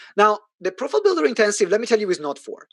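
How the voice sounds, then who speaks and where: With an Italian accent, a man speaks in an animated tone and lively intonation, the sound dry and close with no echo. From Italy. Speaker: business coach. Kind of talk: sales pitch. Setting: online event. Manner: loud.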